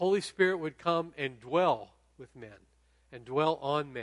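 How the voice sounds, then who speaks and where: A man has an unremarkable speaking voice at a fairly high pitch. He speaks at a moderate pace. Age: 60s. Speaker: guest pastor. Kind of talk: sermon. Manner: casual.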